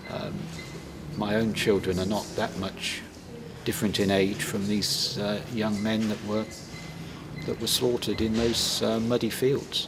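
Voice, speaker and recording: A man talks at a fairly slow pace with long, frequent pauses and fairly even intonation at a fairly low pitch. Noticeable background noise and audible room echo fill the recording. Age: 60s. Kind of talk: interview.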